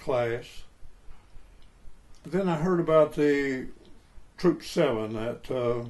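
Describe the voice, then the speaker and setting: Here a man is talking. His pace is very slow. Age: 80s+. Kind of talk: interview answer. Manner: slow, reflective.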